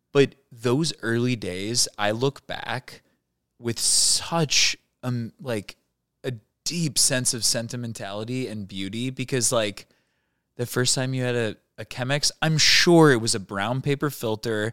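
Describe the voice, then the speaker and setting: In an unremarkable speaking voice at a medium pitch, a man talks at a fairly slow pace with ordinary pitch variation, the sound dry and close with no echo. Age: 30s. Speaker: coffee roaster. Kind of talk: casual chat.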